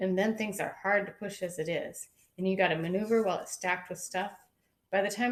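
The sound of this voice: The background stays quiet. An unforced reading voice keeps fairly even intonation.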